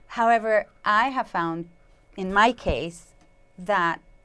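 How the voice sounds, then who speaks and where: A woman with a Spanish accent speaks in a bright, sharp tone with ordinary pitch variation. The recording is very clean, with a silent background. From Mexico. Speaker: sound healer. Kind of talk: interview conversation.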